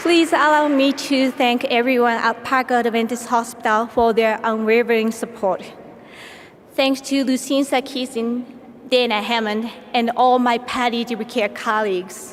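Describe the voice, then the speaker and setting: Amid noticeable background noise, a woman with a Japanese accent speaks in a high pitch at a moderate pace, her loudness very even and her intonation fairly even. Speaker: palliative care nurse. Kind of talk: award acceptance speech.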